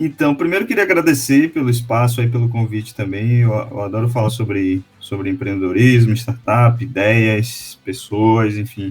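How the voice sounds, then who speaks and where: With a Bahian accent, this man talks at a moderate pace and medium pitch, with ordinary pitch variation and hardly any pauses. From Brazil, Salvador, Bahia. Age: 30s. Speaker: startup co-founder. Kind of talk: podcast interview.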